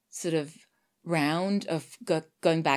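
In a Swedish accent, a woman talks with fairly even intonation at a very deep, low pitch. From Sweden. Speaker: voice actor and audio drama producer. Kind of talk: interview conversation. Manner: halting.

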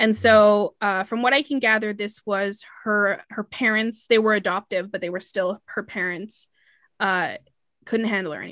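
Against a quiet background, a woman with an unremarkable speaking voice talks in a fairly high pitch with fairly even intonation, the sound dry and close with no echo. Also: moderate pace. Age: 20s. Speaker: podcast host. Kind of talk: storytelling.

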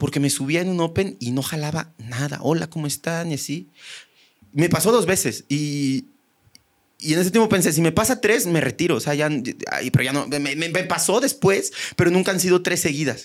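On a very clean recording with a silent background, a man speaks at a moderate pace in a high pitch with lively intonation. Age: 30s. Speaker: stand-up comedian. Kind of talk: casual chat.

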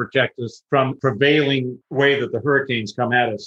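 Speaking with a West Coast US accent, a man has a fairly high pitch. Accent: American (West Coast). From Southern California. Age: 70s. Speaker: retiree. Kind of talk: interview. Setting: video call.

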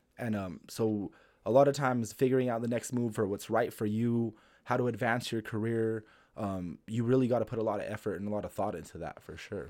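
A man uses an ordinary speaking voice at a medium pitch and a fairly quick pace. The recording is very clean, with a silent background. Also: fairly even intonation. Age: 30s. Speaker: stand-up comedian. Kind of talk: casual chat.

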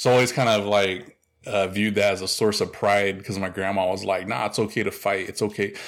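A man speaks fairly quickly in an ordinary speaking voice, pitched fairly low. His intonation is fairly even, and the recording is very clean with a silent background. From Oklahoma, US. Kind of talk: interview conversation.

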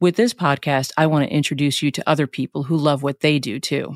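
A woman with a New York accent and a very deep, low pitch speaks at a fairly quick pace with fairly even intonation. The very clean recording has a silent background and a dry, close sound with no echo. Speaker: podcast host. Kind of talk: scripted solo podcast intro.

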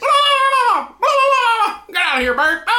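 The put-on character voice sits at an extremely high pitch and swings very widely in pitch. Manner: screaming.

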